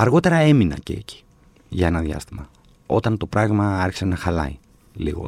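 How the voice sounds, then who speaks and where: The man's voice has a somewhat breathy quality. He talks at a moderate pace. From Athens, Greece (Exarchia). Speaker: novelist and screenwriter. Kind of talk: casual interview chat.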